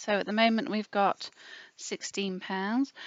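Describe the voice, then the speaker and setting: A woman with an English accent. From England. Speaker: budgeting youtuber. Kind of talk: casual budgeting tutorial. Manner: chatty, with many fillers.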